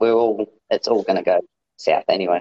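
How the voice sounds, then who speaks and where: An Australian accent at a moderate pace. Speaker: podcast guest. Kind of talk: casual chat.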